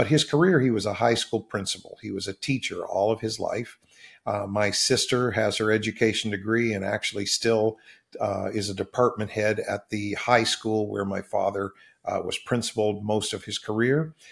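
At a moderate pace, a man speaks in a plain, everyday voice with medium pitch and fairly even intonation. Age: 60s. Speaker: pastor. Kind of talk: interview conversation.

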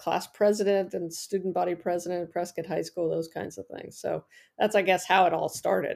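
A woman with an American accent has an unremarkable speaking voice at a medium pitch. She speaks at a moderate pace with fairly even intonation in a very clean recording with a silent background. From northern Arizona, US. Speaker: energy policy academic and former state regulator. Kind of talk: interview.

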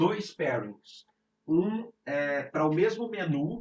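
A man speaks with a Brazilian accent at a fairly high pitch. His intonation is lively. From Brazil, Rio de Janeiro. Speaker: sommelier. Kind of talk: casual chat.

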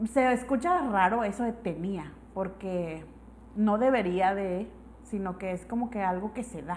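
A woman with a Mexican accent at a fairly slow pace, with ordinary pitch variation. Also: medium pitch for a woman. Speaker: podcast co-host. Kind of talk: casual chat.

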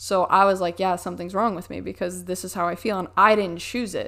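Fairly quick delivery with a monotone, flat intonation, in a very clean recording against a silent background. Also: woman. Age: 20s. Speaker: faith testimony guest. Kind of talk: testimony.

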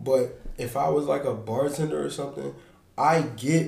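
A man with vocal fry speaks at a medium pitch and a fairly slow pace, with ordinary pitch variation and audible room echo. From Philadelphia. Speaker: podcast host. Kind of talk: casual chat.

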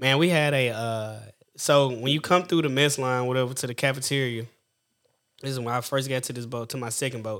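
A man talks at a fairly quick pace in a medium pitch, his intonation fairly even. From US West, Sacramento area. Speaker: Navy veteran. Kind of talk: casual chat.

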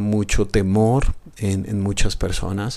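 A man speaks fairly slowly in a fairly low voice with a dark, mellow tone. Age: 30s. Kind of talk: reflective solo podcast talk. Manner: hesitant fillers.

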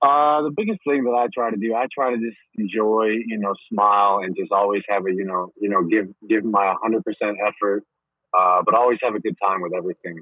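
A man with a fairly low pitch, a slightly husky edge and fairly even intonation, at a fairly quick pace, in a dry, close sound with no echo.

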